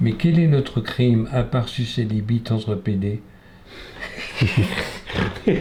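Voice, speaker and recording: Over noticeable background noise, a man talks at a very slow pace with long, frequent pauses and ordinary pitch variation. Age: 70s. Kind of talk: interview testimony. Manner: hesitant, many fillers.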